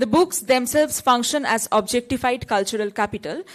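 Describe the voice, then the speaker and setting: High-pitched woman with a Bengali accent, lively intonation, fairly quick pace. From Bengal, India. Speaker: academic paper presenter. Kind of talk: conference paper presentation. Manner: formal, reading from prepared text.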